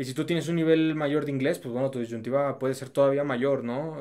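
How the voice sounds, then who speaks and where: At a fairly quick pace, a man talks with fairly even intonation in an unremarkable speaking voice. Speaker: YouTuber. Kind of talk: casual chat.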